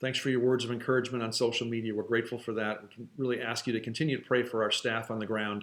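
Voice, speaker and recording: A man talks at a very fast pace with hardly any pauses. His medium-pitched voice has a monotone, flat intonation. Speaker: nonprofit organization staff giving updates. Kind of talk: video update. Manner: casual with fillers.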